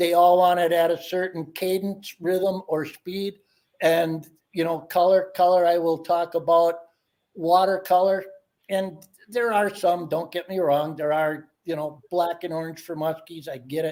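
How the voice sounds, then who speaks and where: In a monotone with flat intonation, a man speaks fairly slowly at a high pitch. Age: 60s. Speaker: ice fishing angler. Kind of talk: casual chat.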